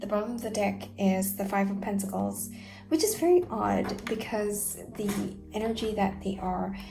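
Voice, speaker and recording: Quiet, fairly slow speech over noticeable background noise. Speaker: tarot reader. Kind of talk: tarot reading monologue. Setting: at home late at night. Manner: lowered voice, quiet; hesitant, many fillers.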